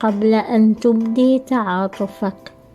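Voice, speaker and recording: A woman with a fairly high voice speaks at a very slow pace with ordinary pitch variation. Music plays in the background. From Syria. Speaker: writer and spoken-word performer. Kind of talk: reading aloud own prose.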